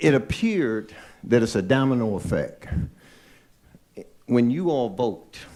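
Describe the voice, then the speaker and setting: Speaking at a fairly slow pace with long, frequent pauses, a man with an American accent has a dark, mellow tone, medium pitch and lively intonation. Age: 60s. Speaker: public commenter at board meeting. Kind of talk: public comment speech. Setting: board meeting.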